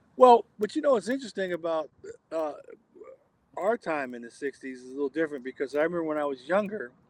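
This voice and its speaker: Very wide pitch swings at a moderate pace, in a dry, close sound with no echo. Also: man. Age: 60s. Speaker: jazz drummer. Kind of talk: casual chat.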